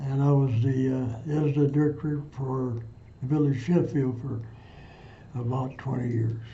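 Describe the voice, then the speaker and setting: A man with a Midwestern US accent speaks in a monotone, flat intonation. Long, frequent pauses and audible room echo fill the clip. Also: medium pitch for a man, moderate pace. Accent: US Midwest. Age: 80s+. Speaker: war veteran. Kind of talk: oral history interview. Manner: halting.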